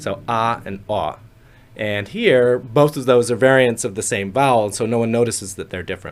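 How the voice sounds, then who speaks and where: At a moderate speed, the man talks in an unremarkable speaking voice, medium in pitch with ordinary variation. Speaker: phonetics professor. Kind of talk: interview answer.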